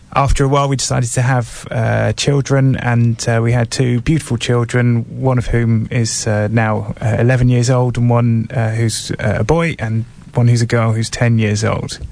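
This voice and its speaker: Male speech at a moderate pace, monotone and flat, with very even loudness over noticeable background noise. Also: medium pitch for a man. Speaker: bereavement trainer for midwives. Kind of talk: radio interview. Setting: studio.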